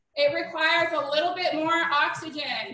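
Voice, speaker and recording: In a room with audible echo, a woman uses a raised, projected voice with a bright, sharp tone. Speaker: fitness instructor. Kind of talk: workout instruction. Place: home room. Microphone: camera far.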